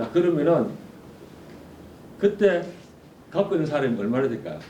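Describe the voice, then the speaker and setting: A man in a Gyeongsang accent, fairly high in pitch, with lively intonation, a moderate pace, vocal fry, a dark, mellow tone and audible room echo. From South Korea, Gyeongsang (Ulsan). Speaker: forum speaker, adviser. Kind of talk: conference talk. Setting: stage with audience.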